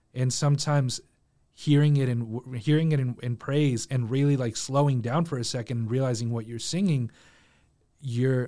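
On a very clean recording with a silent background, a man with a Spanish accent talks at a medium pitch with fairly even intonation. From Mexico. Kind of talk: casual chat.

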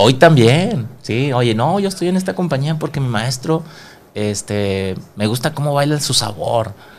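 This man has an unremarkable speaking voice at a medium pitch. He talks at a fairly slow pace with lively intonation. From Monterrey, Mexico. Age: 40s. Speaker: dance instructor. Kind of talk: casual chat. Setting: studio.

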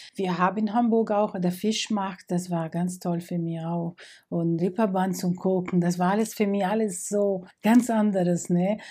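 A woman's medium-pitched, dark, mellow voice with a Portuguese accent, flat monotone intonation and a fairly slow pace, on a very clean recording with a silent background. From Brazil, Rio de Janeiro. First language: Portuguese (speaking German). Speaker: migrant interviewee. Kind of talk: interview. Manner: halting, with hesitations.

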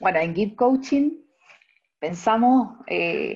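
A woman talks at a very slow pace with lively intonation. Her pitch sits in the medium range. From central Chile, Talca. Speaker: nurse and coach. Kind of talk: casual interview chat.

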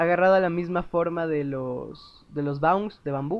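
A man with a Mexican accent at a fairly slow pace. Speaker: podcast host. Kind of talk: casual monologue. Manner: halting, with frequent laughs.

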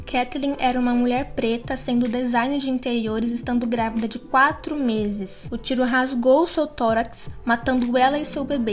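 Ordinary pitch variation at a moderate pace. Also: woman. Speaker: podcast news presenter. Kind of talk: news reading.

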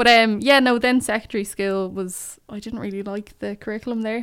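A woman with a Dublin accent at medium pitch and a fairly quick pace, in a very clean recording with a silent background. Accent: Dublin Irish. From Ireland, North Dublin. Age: 20s. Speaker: poet. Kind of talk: casual chat. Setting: studio.

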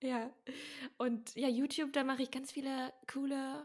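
The speaker is a woman. Her pitch is high. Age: 30s. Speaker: podcast co-host, fitness YouTuber. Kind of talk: casual chat.

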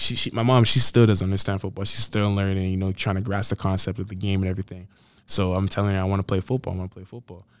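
This man talks at a very fast pace in a fairly low pitch, his intonation monotone and flat while his loudness swings widely. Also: very clean recording, silent background. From Canada, Edmonton, Alberta. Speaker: college football player. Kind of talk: interview. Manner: hesitant, many fillers.

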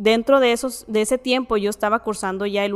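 A woman with a plain, everyday voice speaks at a moderate pace, fairly high in pitch with fairly even intonation. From Mexico, Ciudad Juárez. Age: 20s. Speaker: engineering student sharing a faith story. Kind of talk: testimony.

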